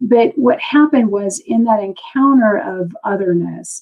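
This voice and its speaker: Someone with an ordinary speaking voice talks at a fairly slow pace with lively intonation. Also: woman. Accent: American. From US. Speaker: teacher. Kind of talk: interview. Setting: live video stream.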